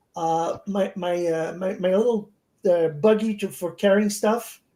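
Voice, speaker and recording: Speaking fairly slowly with a French accent, a woman has a dark, mellow tone. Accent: French accent, noticeable. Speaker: beekeeper. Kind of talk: casual chat. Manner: halting, repeats words.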